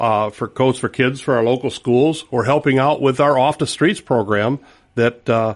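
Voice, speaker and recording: A man speaks in a normal speaking voice at a medium pitch, keeping a moderate pace and ordinary pitch variation. His loudness stays very even over a quiet background. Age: 60s. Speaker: retiree and volunteer. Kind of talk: radio interview. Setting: studio.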